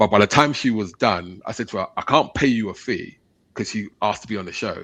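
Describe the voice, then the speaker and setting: With a British accent, a man talks fairly low and at a fairly quick pace. The background is quiet. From England. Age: 50s. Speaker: radio station owner. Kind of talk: casual chat.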